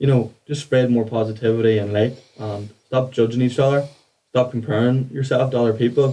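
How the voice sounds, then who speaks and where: A man's dark, mellow voice at a fairly quick pace, flat and monotone in intonation. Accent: Irish. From Ireland. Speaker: mindset coach. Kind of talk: podcast interview.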